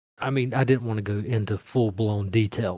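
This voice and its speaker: A man with a Mississippi accent, medium pitch and fairly even intonation, in a dry, close sound with no echo on a very clean recording with a silent background. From Mississippi, US. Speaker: fiction writer. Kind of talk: interview Q&A.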